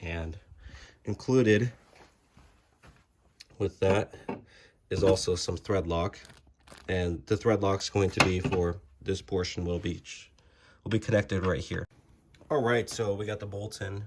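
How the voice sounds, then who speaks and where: A man speaks at a fairly slow pace with long, frequent pauses. His somewhat breathy voice is fairly low-pitched, with fairly even intonation. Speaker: car enthusiast. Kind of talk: casual how-to talk to camera. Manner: casual, hesitant.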